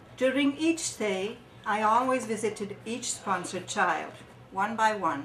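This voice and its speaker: A woman with a fairly high pitch speaks at a fairly slow pace with ordinary pitch variation, with audible room echo and noticeable background noise. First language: French. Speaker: charity volunteer. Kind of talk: testimony; reading aloud. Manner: halting.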